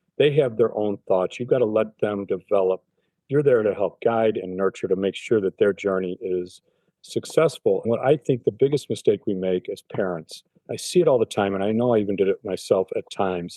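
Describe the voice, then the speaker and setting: A man speaks with an unremarkable speaking voice, fairly low in pitch. His pace is fairly quick and his pitch variation is ordinary. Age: 60s. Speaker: cancer patient. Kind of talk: interview.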